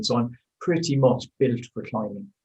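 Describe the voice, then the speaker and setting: A man talks in a somewhat breathy voice with an Irish accent. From Ireland. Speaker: amateur cyclist, record holder. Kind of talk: interview. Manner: halting, many fillers.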